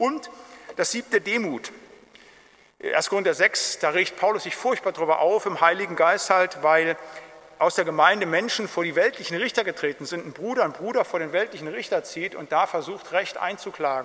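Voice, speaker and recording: A man with a high pitch speaks in a raised, projected voice at a moderate pace. His pitch varies in an ordinary way, with noticeable background noise. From Germany, Siegerland. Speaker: pastor. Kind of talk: Bible study lecture.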